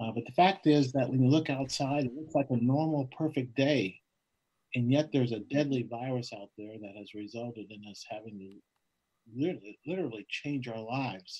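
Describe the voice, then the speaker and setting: A man's dark, mellow voice with big swings in loudness and ordinary pitch variation, against a quiet background. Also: moderate pace. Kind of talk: role-play conversation. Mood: friendly, thoughtful. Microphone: video call.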